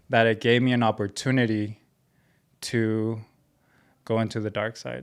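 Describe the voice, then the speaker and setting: Speaking with a Spanish accent, a man uses a medium pitch and a monotone, flat intonation at a moderate pace, on a very clean recording with a silent background. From Mexico (Ciudad Juarez), moved to US as child. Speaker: clothing brand founder. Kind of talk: podcast interview, personal story. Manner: casual.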